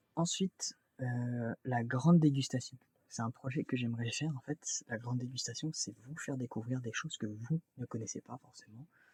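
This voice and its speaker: A man's somewhat breathy voice sits at a medium pitch with ordinary pitch variation. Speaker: YouTuber. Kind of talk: casual vlog talk to camera. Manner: halting, many fillers and restarts; fast.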